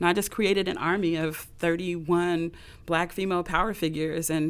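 A woman speaks with an American accent at a fairly low pitch, her intonation monotone and flat. The recording is very clean, with a silent background. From US West Coast, Los Angeles. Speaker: visual artist and performer. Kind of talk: interview.

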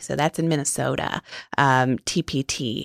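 A woman with an American accent speaks at a moderate pace with ordinary pitch variation, in an unremarkable speaking voice. The sound is dry and close, with no echo. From New York City. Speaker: public broadcasting executive. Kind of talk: interview.

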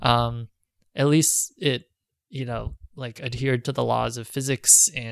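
Here is an ordinary speaking voice from a man, pitched at a medium level. The pace is moderate, and the pitch moves with ordinary variation. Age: 30s. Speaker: documentary filmmaker. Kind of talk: interview.

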